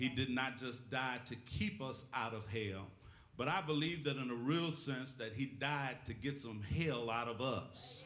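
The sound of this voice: Pitched in the medium range, a man speaks with a fairly bright tone. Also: ordinary pitch variation, fairly slow pace.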